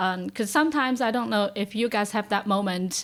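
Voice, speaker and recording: A woman with a Chinese accent talks at a moderate pace in a medium pitch. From China. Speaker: early career scientist. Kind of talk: casual panel discussion.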